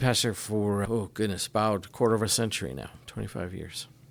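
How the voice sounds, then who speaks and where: A man with a plain, everyday voice talks at a moderate pace with a fairly low pitch. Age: 60s. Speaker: pastor. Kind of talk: casual chat.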